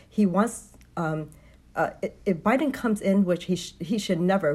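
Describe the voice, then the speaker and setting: A somewhat breathy woman's voice at medium pitch with an American accent, ordinary pitch variation and a moderate pace. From Vietnam, later Texas. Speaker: guest, rally attendee. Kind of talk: casual interview.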